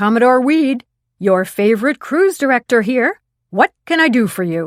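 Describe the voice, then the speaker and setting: A put-on character voice moves at a moderate pace in a very clean recording with a silent background. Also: woman, high pitch for a woman. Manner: fake cheery, chirpy.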